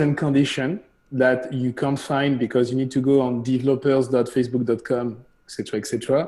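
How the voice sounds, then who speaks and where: A man with a French accent talks at a moderate pace. His medium-pitched voice has a dark, mellow tone. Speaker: CEO of a streaming company. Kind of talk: casual Q&A on a live show. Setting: live stream show.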